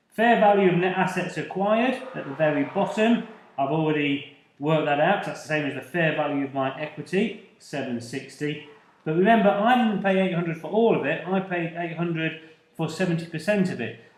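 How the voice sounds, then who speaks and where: A man's high-pitched voice at a fairly quick pace, with ordinary pitch variation, audible room echo and noticeable background noise. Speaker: accounting tutor. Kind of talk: lecture.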